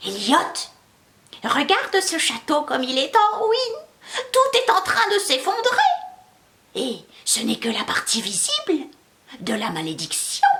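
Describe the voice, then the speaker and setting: A woman's put-on character voice, extremely high in pitch with very wide pitch swings, at a fairly slow pace with long, frequent pauses. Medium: read story. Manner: slow, sententious.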